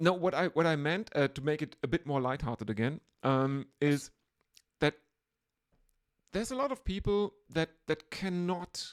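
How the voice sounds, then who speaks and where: With a German accent, a woman speaks at a moderate pace in a very deep, low pitch with lively intonation. Her long, frequent pauses come through in a dry, close recording with no echo. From Germany. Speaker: podcast host. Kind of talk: casual chat.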